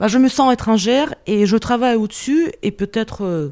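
A woman's dark, mellow tone on a very clean recording with a silent background. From Russia. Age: 40s. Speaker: interview guest, expatriate mother. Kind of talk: personal testimony. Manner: hesitant, with fillers.

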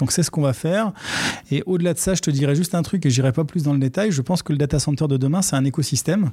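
Here a man talks at a very fast pace with very even loudness. Background noise is noticeable. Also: fairly high pitch for a man, ordinary pitch variation. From Paris suburbs, Seine-Saint-Denis (Aubervilliers). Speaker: entrepreneur, data center company CEO. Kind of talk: interview.

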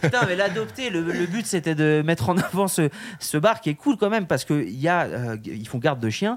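The speaker is a man with a high pitch. His voice swings very widely up and down. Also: moderate pace. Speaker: podcast host. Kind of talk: casual chat. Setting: live from hotel at ski resort.

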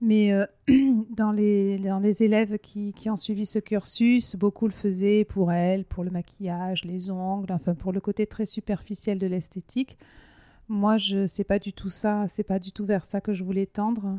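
Recorded very cleanly with a silent background and a dry, close sound with no echo, a woman speaks fairly slowly at a medium pitch in a dark, mellow tone with monotone, flat intonation. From southwest France (Hautes-Pyrénées). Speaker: entrepreneur, beauty salon founder. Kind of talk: interview. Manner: halting.

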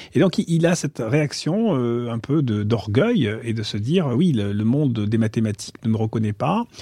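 A man's dark, mellow voice at medium pitch, fairly slow in pace, with lively intonation. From France, Marseille. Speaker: finance executive and novelist. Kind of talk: interview conversation. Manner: hesitant, many repetitions.

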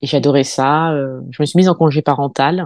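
A woman's tone is dark and mellow, with fairly even intonation. The sound is dry and close, with no echo. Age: 40s. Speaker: cosmetics brand consultant and founder. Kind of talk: interview.

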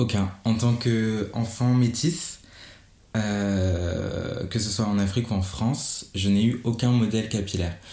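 Speaking at a very slow pace with fairly even intonation and very even loudness, a man with a dark, mellow tone is heard in audible room echo. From Gabon. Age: 20s. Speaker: hairdresser. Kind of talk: interview. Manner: halting.

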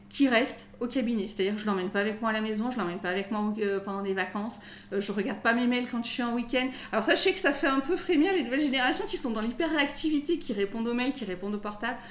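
A woman's fairly high voice at a very fast pace, lively in intonation, with noticeable background noise. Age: 40s. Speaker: lawyer. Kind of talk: casual interview.

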